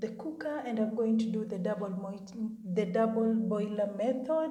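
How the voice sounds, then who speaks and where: A woman with a fairly high, somewhat breathy voice talks at a fairly slow pace. Her pitch varies in an ordinary way, and room echo is audible. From Kenya. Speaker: beauty content creator. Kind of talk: tutorial. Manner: casual, chatty.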